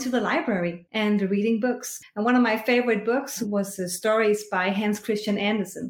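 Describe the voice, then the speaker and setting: With a Danish accent, a woman speaks using ordinary pitch variation. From rural Denmark. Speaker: choir conductor and singing teacher. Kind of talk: interview.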